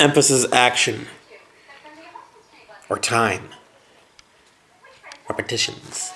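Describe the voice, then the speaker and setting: With noticeable background noise behind him, a man speaks at a very slow pace, leaving long, frequent pauses. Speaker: English teacher. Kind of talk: grammar lesson. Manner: casual.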